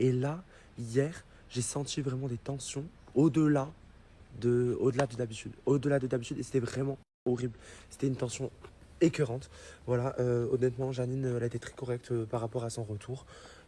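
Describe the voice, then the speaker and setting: Long, frequent pauses break up a man's fairly quick delivery. His medium-pitched voice is somewhat breathy. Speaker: social media influencer. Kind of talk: direct-to-camera explanation to followers. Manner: hesitant, many fillers.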